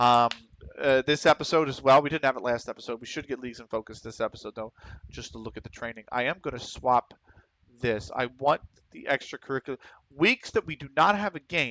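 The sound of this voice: A man's fairly bright, medium-pitched voice in a Pennsylvania accent, fairly quick, with ordinary pitch variation and a dry, close sound with no echo. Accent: Pennsylvania American.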